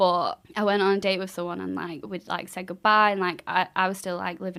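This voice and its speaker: A woman speaks at a moderate pace with a Mancunian accent. The recording is very clean, with a silent background. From Manchester. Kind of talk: casual podcast conversation. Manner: energetic.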